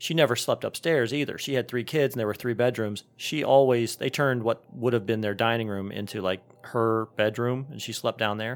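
A man talks in an unremarkable speaking voice at a medium pitch with ordinary pitch variation. He moves at a fairly quick pace with hardly any pauses. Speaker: podcast host. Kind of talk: casual chat.

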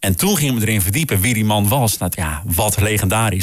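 On a very clean recording with a silent background, a man with a somewhat breathy voice and fairly low pitch speaks at a moderate pace. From Groningen, northern Netherlands. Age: 40s. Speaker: jingle producer. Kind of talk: casual chat.

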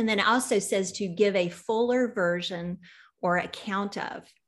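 On a very clean recording with a silent background, a woman with a Southern US accent speaks at a fairly slow pace, her pitch medium with ordinary variation. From US South. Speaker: podcast host. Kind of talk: interview conversation.

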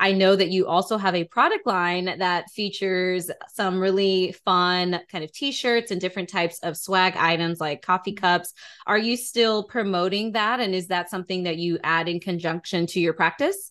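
A woman with an American accent has an ordinary speaking voice, speaking at a moderate pace in a medium pitch with fairly even intonation. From US, Atlanta, Georgia. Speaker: podcast host. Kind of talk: interview.

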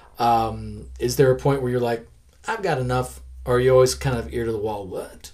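A man moves along at a fairly quick pace with noticeable noise in the background. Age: 40s. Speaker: podcast host and comic creator. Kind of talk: casual interview chat. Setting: in the guest's collection room.

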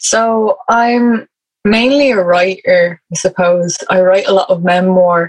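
Heard in a dry, close sound with no echo, a woman with an Irish accent speaks at a medium pitch with fairly even intonation. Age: 20s. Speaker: writer. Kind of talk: interview conversation.

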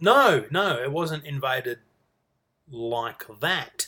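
With an Australian accent, a man speaks in a fairly high pitch with a bright, sharp tone and ordinary pitch variation. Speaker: podcaster. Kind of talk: solo casual monologue.

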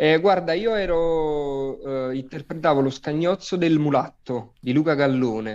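A man speaks at a fairly slow pace with a fairly high pitch and ordinary pitch variation. His loudness stays very even. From Naples, Italy. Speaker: actor. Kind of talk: interview.

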